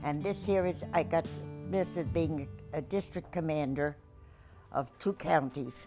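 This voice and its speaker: A woman with a very deep, low pitch talks at a fairly slow pace with lively intonation. Music plays in the background, and she leaves long, frequent pauses. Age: 80s+. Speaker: war veteran. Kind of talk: interview answer.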